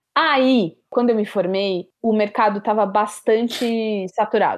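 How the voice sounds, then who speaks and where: A woman speaks with a normal speaking voice, a medium pitch and fairly even intonation. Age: 20s. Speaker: podcast producer. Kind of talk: interview conversation.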